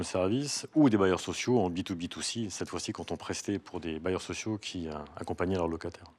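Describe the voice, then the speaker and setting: Very deep, low male speech at a fairly quick pace with ordinary pitch variation, on a very clean recording with a silent background. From Corsica. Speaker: customer relations executive. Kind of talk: interview.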